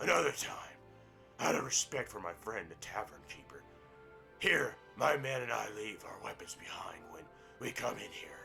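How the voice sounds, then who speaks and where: Clear music plays in the background as a man uses a raspy, put-on character voice at a medium pitch and a moderate pace. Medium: game stream. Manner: glib, silver-tongued.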